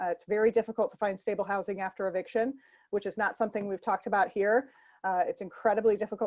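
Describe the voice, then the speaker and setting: A woman talks at a very fast pace with medium pitch. Her intonation stays fairly even. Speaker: nonprofit policy advocate and forum moderator. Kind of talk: online panel forum. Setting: online call. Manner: hesitant, many fillers.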